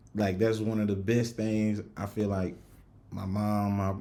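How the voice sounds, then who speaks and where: In a strong Southern US accent, a man talks with a fairly low pitch, a dark, mellow tone and monotone, flat intonation, with audible room echo around him. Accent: thick Southern country. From US South, Rock Hill, South Carolina. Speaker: podcast host. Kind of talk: casual chat. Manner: casual, many fillers.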